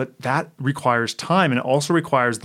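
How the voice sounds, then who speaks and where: Someone with a Canadian accent talks at a fairly quick pace with ordinary pitch variation in an ordinary speaking voice. The recording is very clean, with a silent background. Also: man. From Canada. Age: 40s. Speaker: author. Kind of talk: casual chat.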